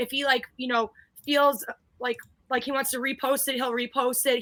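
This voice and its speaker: Loud and animated, a woman speaks at a fairly quick pace in a high pitch with a bright, sharp tone. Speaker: guest co-host of a basketball fan livestream. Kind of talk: casual chat. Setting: live stream. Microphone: new mic after complaints about her mic.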